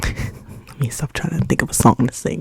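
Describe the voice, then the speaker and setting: A whispered voice moves at a fairly slow pace against noticeable background noise. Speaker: ASMR artist. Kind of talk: ASMR ramble, up close ear to ear. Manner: repetitive, stuttering trigger words.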